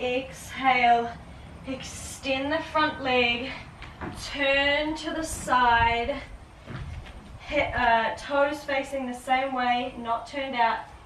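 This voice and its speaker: A woman talks at a very slow pace with long, frequent pauses, her high pitch held in a monotone, flat intonation. The room echo is audible and the background noise is noticeable. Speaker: yoga teacher. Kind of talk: guided yoga class.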